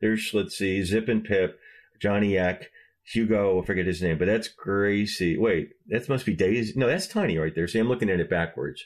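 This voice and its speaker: Fairly low in pitch, a man with an American accent talks at a moderate pace with ordinary pitch variation. His loudness stays very even over a quiet background. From Michigan. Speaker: podcast host and historian. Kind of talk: casual chat.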